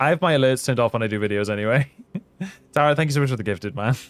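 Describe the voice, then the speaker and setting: Music plays behind a man who speaks at a medium pitch in an animated tone with ordinary pitch variation. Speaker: gaming streamer. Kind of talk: live stream gaming chat; video outro. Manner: casual, animated.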